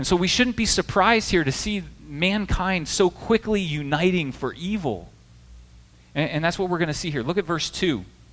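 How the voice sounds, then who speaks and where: This man has a high pitch and an American accent. He talks at a moderate pace with ordinary pitch variation. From US Midwest. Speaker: pastor. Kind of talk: sermon.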